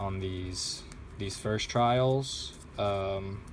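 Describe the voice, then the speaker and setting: At a very slow pace, a man talks with fairly even intonation amid audible room echo. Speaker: vlogger doing origami. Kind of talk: casual vlog while folding. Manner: hesitant, many fillers.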